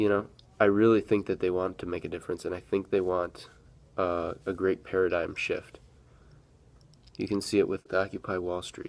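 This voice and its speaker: Someone with an American accent speaks at a moderate pace, with long, frequent pauses. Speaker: vlogger. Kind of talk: casual vlog monologue. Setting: at work. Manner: rambling, hesitant.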